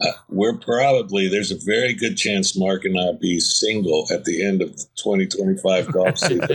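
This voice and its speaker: With noticeable background noise behind him, a man talks on with hardly any pauses. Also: moderate pace. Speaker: golf tour director. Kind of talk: casual chat. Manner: halting, stutters and hums.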